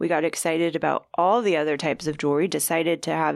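Recorded very cleanly with a silent background, a woman with a General American accent speaks in a normal speaking voice at a fairly low pitch and a fairly quick pace. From Kansas. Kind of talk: casual chat.

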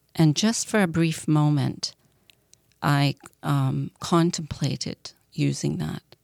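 A woman's very slow speech with long, frequent pauses and a dry, close sound with no echo. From Scotland. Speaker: person in addiction recovery. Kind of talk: testimony. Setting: studio.

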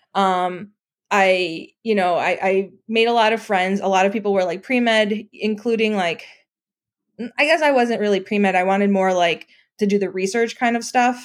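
Her pitch medium and its variation ordinary, a woman speaks at a moderate pace on a very clean recording with a silent background. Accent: American. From Chicago. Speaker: software engineer. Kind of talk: casual interview.

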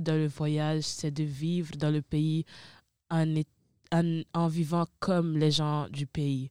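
A woman's very deep, low voice, dark and mellow in tone, very slow and monotone with flat intonation, in a dry, close sound with no echo and a very clean recording with a silent background. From Italy, of Ivorian parents. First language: Italian (speaking French). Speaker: university student. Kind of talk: casual chat.

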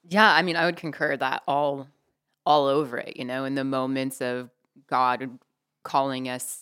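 The recording is very clean, with a silent background. A woman speaks at a very deep, low pitch. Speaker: guest sharing testimony. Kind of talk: casual interview.

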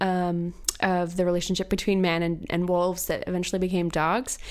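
A woman with an American accent speaks at a fairly quick pace and medium pitch, with noticeable background noise. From US, Virginia. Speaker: podcast host. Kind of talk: casual chat.

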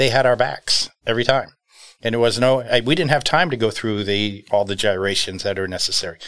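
A man with a normal speaking voice talks at a fairly quick pace. His pitch is medium and his intonation lively. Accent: American. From New York, US. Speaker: business owner. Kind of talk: interview.

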